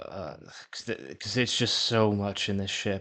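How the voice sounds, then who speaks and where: Against a quiet background, a man speaks at a fairly low pitch in a monotone, flat intonation. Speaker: gaming video creator. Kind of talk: casual gameplay commentary. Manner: halting, frequent repetitions and stumbles.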